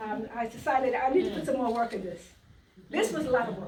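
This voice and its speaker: A woman with a New York accent speaks at a moderate pace in a fairly high voice, leaving long, frequent pauses, with audible room echo and noticeable background noise. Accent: New York twang. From US Virgin Islands, earlier New York. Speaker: quilter. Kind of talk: talk at a quilt trunk show.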